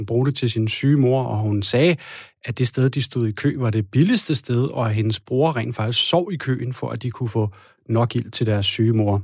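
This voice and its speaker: In a somewhat breathy voice, a man speaks at a moderate pace in a medium pitch. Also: very clean recording, silent background. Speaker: radio host. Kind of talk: radio magazine presenting.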